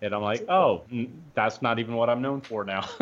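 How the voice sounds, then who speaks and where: A man with a normal speaking voice, medium pitch and a fairly quick pace. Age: 30s. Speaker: actor. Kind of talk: casual chat.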